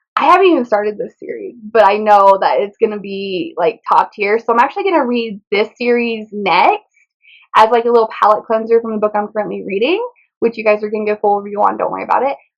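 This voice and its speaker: A woman's fairly high voice, very fast pace and animated tone. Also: ordinary pitch variation. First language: Spanish. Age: 20s. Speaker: book vlogger. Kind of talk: casual chat.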